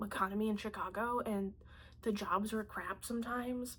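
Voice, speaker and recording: A woman speaks in a normal speaking voice, fairly high-pitched, with fairly even intonation. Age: 20s. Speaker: artist and vlogger. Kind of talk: personal vlog monologue. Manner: casual, conversational with fillers.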